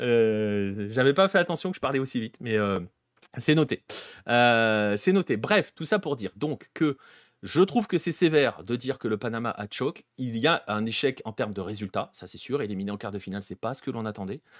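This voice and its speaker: With an animated tone, lively intonation and big swings in loudness, a man speaks at medium pitch in a dry, close sound with no echo on a very clean recording with a silent background. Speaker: football show host. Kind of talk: livestream football analysis. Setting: livestream. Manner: fast.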